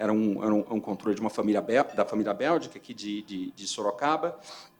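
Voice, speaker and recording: Speaking with a Rio de Janeiro accent, a man talks at a fairly quick pace and a medium pitch, with ordinary pitch variation. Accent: Carioca. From Rio de Janeiro, Brazil. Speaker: company CFO, award finalist. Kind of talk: award presentation speech. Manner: halting, many filler repetitions.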